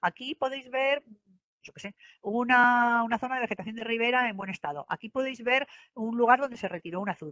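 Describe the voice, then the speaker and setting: A woman speaks at a fairly quick pace. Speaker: government environmental specialist presenting. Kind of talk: online presentation; Q&A answer. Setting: online event. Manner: fast; hesitant with many fillers.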